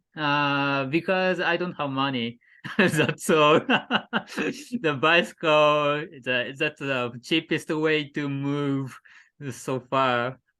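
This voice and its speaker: Very slow, fairly high speech from a man with a Japanese accent, a bright, sharp tone and long, frequent pauses over a quiet background. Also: ordinary pitch variation. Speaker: cycling adventurer. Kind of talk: casual interview. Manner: halting.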